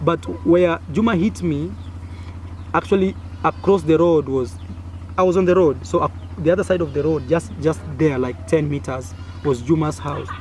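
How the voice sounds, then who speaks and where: A man with an East African accent, fairly high pitch and very wide pitch swings, at a moderate pace with long, frequent pauses. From Kenya. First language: Swahili. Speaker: YouTuber. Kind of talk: personal storytelling. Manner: animated.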